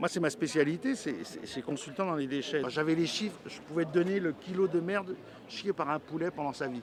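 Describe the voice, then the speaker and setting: A man talks at a fairly quick pace with fairly high pitch. His pitch varies in an ordinary way. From Paris, France. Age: 60s. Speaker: regional election candidate. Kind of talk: interview. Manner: halting, with many repetitions and fillers.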